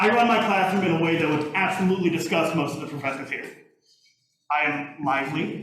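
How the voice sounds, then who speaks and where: A man speaks in a raised, projected voice at a fairly quick pace. The room echo is audible. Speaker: music teacher. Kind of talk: lecture. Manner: loud; animated.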